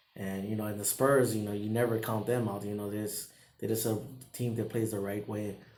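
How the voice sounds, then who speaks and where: The speech moves at a fairly quick pace in a monotone, flat delivery. Audible room echo hangs around the voice. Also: man, fairly low pitch for a man. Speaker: sports vlogger. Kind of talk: casual commentary. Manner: halting.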